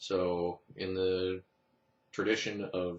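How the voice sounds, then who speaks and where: The man's voice has a very deep, low pitch. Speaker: knife reviewer. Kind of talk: product review. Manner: fast.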